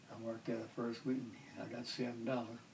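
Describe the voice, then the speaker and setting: Noticeable background noise sits under a man's medium-pitched voice. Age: 80s+. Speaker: World War II veteran. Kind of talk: interview answer. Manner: casual, rambling storytelling.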